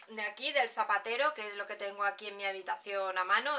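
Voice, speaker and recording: The woman talks at a very fast pace. Her intonation stays fairly even. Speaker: beauty vlogger. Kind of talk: casual vlog chat. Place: home room. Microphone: camera far.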